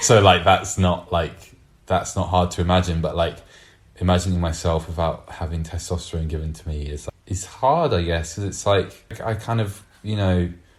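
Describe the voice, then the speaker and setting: Somewhat breathy, this man's voice sits at a very deep, low pitch. He keeps a moderate pace and fairly even intonation. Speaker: artist, intersex guest. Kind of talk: casual chat. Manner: halting, many fillers.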